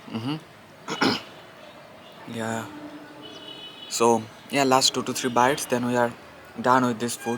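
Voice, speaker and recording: Over music in the background, a man talks at a very slow pace in a flat monotone, leaving long, frequent pauses. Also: medium pitch for a man. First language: Bengali. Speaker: vlogger. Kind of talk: casual vlog. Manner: halting.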